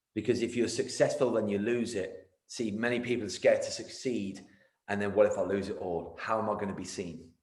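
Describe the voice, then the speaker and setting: Energetic in tone, the speech moves at a fairly quick pace with audible room echo. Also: man. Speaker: martial arts business coach. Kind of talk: casual interview. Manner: fast; loud, energetic.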